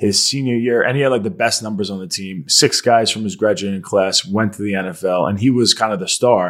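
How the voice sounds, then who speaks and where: Speaking with an American accent at a fairly quick pace, a man with a fairly low pitch and ordinary pitch variation uses hardly any pauses. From Long Island, New York. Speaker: podcast host. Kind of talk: interview.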